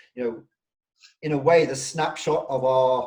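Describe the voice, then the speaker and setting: A man's somewhat breathy voice at a medium pitch, dark and mellow in tone, with an English accent and fairly even intonation. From England. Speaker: rehab company CEO, interview host. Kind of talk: interview.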